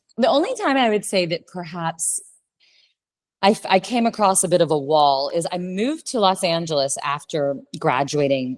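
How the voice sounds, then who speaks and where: With an American accent, a woman speaks in a fairly low, animated voice at a moderate pace, her intonation lively. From US South, Louisiana. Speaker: communication coach and actress. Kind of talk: interview conversation.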